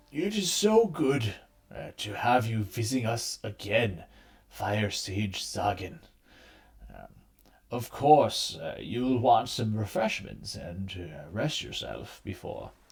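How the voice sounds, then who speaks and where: A man does a raspy, put-on character voice at a fairly slow pace. His loudness swings widely. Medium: actual play. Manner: hesitant, hospitable.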